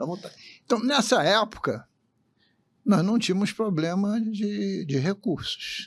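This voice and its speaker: The speaker goes at a very slow pace, with long, frequent pauses and ordinary pitch variation. The recording is very clean, with a silent background. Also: man, high pitch for a man. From Rio de Janeiro city, Brazil. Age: 80s+. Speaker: state politician. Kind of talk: interview.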